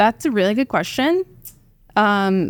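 A woman with an American accent and an ordinary speaking voice, lively in intonation, at a moderate pace, in a very clean recording with a silent background. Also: dry, close sound with no echo. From Oklahoma, US (small town). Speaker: venture capital investor. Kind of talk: podcast interview. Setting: studio.

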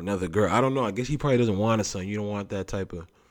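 This is a man with a normal speaking voice. His pitch is fairly low, with ordinary pitch variation. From Canada. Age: 20s. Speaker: podcast host. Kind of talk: casual solo monologue. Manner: relaxed, loose slangy delivery.

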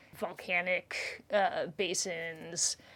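On a very clean recording with a silent background, a woman speaks. Her pitch is fairly low and her intonation flat and monotone. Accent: Canadian. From Canada. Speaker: limnology professor. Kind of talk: interview. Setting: university office.

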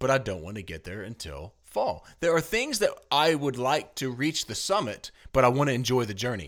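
On a very clean recording with a silent background, a man at medium pitch talks at a moderate pace in a playful tone, with very wide pitch swings and vocal fry. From Tennessee. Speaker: board game podcast host. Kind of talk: casual chat, game review. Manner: playful, joking.

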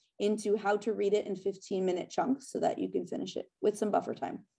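A woman speaks at a fairly quick pace in a medium pitch. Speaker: productivity coach. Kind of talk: interview. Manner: fast.

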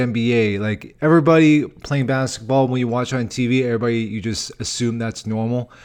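A man with an American accent talks at a very fast pace and medium pitch, his tone animated. The background is quiet. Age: 30s. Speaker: comedian and podcast host. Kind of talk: casual solo podcast monologue. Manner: animated, casual with filler words.

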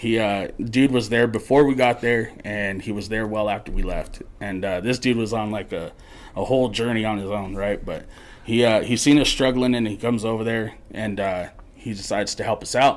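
A man with an American accent speaks in a plain, everyday voice at medium pitch. His pace is moderate and his intonation fairly even. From Colorado (Morgan area). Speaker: podcast guest storyteller. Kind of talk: casual storytelling.

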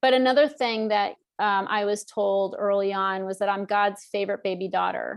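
A woman speaks in a normal speaking voice at a medium pitch. Her pace is moderate and her intonation fairly even. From US Northeast. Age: 50s. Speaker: author and emotional eating coach. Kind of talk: interview.

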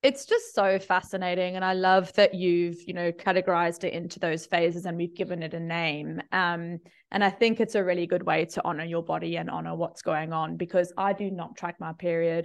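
Over a quiet background, a woman with an ordinary speaking voice talks at a fairly quick pace with hardly any pauses, her pitch fairly low and her intonation fairly even. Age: 30s. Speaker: podcast host and marketing coach. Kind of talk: casual chat. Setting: video call.

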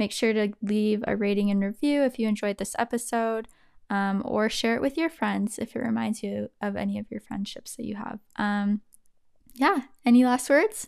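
A normal speaking voice from a woman, fairly high in pitch with ordinary pitch variation, at a moderate pace, on a very clean recording with a silent background. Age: 20s. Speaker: podcast host. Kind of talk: casual chat.

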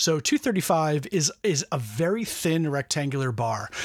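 The recording is very clean with a silent background, and the man speaks with ordinary pitch variation. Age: 40s. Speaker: film enthusiast, podcast guest. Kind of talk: casual chat. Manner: halting, many repeated words.

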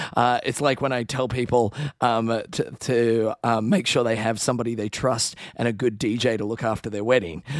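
A man speaks with an Australian accent at a medium pitch. His intonation stays fairly even. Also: moderate pace. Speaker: podcast co-host, Disney travel expert. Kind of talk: casual chat.

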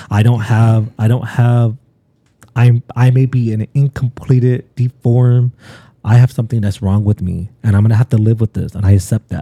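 Dry and close with no echo, a man's voice sits at medium pitch with a dark, mellow, somewhat breathy tone. He keeps a moderate pace and fairly even intonation. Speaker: pastor. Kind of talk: casual chat.

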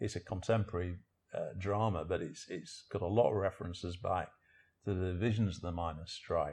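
A man with a very deep, low pitch talks at a fairly quick pace against a quiet background. His intonation is fairly even, and his voice is somewhat breathy. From northern England, Sheffield. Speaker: journalist and author. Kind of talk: interview conversation. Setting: living room at home.

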